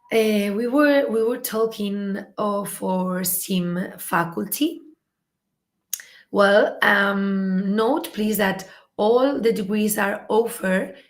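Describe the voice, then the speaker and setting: A woman at a very slow pace and medium pitch, with ordinary pitch variation and audible room echo. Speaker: university admissions presenter. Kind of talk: webinar presentation. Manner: halting, many fillers.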